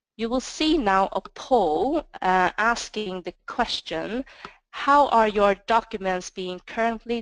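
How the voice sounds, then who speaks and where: Against a quiet background, the voice speaks very slowly with a non-native accent and lively intonation, the sound dry and close with no echo. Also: woman. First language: not English. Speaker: sales manager presenting. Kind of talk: webinar presentation. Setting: webinar.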